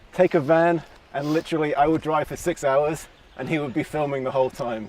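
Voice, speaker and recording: Noticeable background noise accompanies a man with an American accent. He talks at a fairly quick pace with ordinary pitch variation. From London, England. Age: 40s. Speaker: runner. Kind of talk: casual chat.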